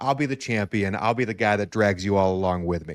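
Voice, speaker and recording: Animated in tone, a man talks at a fairly quick pace in a fairly low pitch with ordinary pitch variation, in a very clean recording over a silent background. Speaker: podcast host and fantasy football contestant. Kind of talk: casual interview chat. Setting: live stream. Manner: fast.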